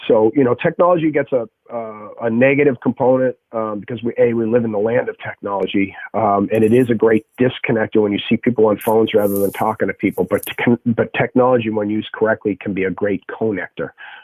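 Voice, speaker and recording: A man with a Boston accent at medium pitch, ordinary pitch variation, a fairly quick pace and hardly any pauses, in a dry, close sound with no echo. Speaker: strength and conditioning coach and athletic trainer. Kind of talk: podcast interview conversation.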